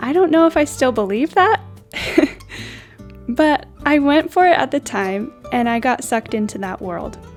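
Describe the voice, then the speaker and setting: A woman speaks in a calm tone at a high pitch, with very wide pitch swings and long, frequent pauses. Music plays in the background. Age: 20s. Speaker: vlogger and voice teacher. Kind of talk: reflective voiceover. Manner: calm, slow.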